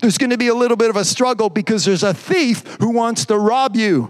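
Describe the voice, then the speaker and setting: With a French-Canadian accent, a man talks at a moderate pace in a high pitch. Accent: French-Canadian accent, noticeable. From Quebec. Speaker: pastor. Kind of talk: live-streamed Pentecostal-style sermon, exhortation with scripture teaching. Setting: church service, live stream. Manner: repetitive restarts and stumbles, builds in intensity.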